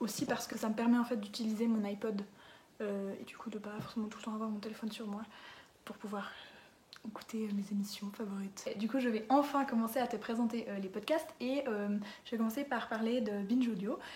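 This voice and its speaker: A woman talks at a fairly quick pace in a fairly high pitch. Her intonation stays fairly even. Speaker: podcast recommender, youtuber. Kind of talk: casual monologue to camera. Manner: hesitant, many fillers.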